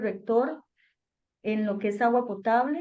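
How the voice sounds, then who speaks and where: Her delivery comes at a fairly slow pace. The woman's voice sits at a fairly high pitch. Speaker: government environmental officer. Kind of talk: webinar Q&A answer.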